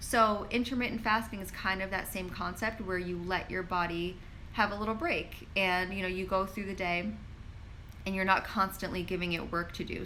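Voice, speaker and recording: In an American accent, a woman speaks at medium pitch with a bright, sharp tone. Her intonation is fairly even, and audible room echo is present. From New York. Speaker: pharmacist and wellness influencer. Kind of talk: live Q&A stream. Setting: live social media stream. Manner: casual, filler-heavy.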